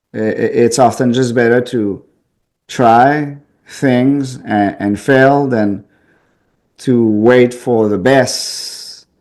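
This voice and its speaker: With a strong Quebec accent, a man speaks at a very slow pace with fairly even intonation and long, frequent pauses. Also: medium pitch for a man. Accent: thick French Canadian. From Quebec City, French Canada. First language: French. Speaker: pest control business owner. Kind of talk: interview.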